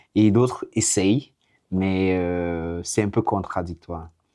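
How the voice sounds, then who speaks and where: Speaking very slowly, a man uses fairly even intonation and a dark, mellow tone. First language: English (speaking French). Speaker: vlogger. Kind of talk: casual monologue to camera. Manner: halting, hesitant.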